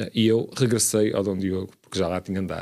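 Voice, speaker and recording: A man with a dark, mellow tone speaks at a fairly quick pace with fairly even intonation. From Portugal, Braga (Minho). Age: 30s. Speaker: city councillor, lawyer. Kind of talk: radio interview.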